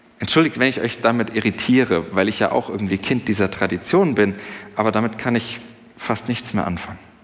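A man with a normal speaking voice talks at a medium pitch and fairly quick pace, with ordinary pitch variation. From Germany, Sauerland. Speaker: pastor. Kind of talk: sermon. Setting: church service with congregation. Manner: conversational, with fillers.

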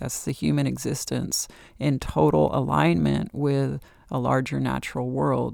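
Speaking at a fairly slow pace, a woman uses a very deep, low pitch with vocal fry and very wide pitch swings. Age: 50s. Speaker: astrology podcast host. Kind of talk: solo podcast monologue. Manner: casual, conversational.

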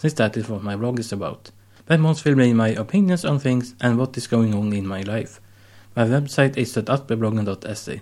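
A man speaks at a fairly quick pace with a Swedish accent, his pitch medium and its variation ordinary. The recording is very clean, with a silent background. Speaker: podcast host. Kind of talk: solo monologue.

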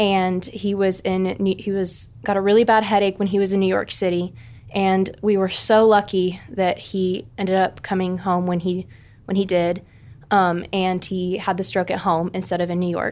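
Speaking with an American accent, a woman of medium pitch keeps a monotone, flat intonation at a moderate pace. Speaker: college student. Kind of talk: podcast interview.

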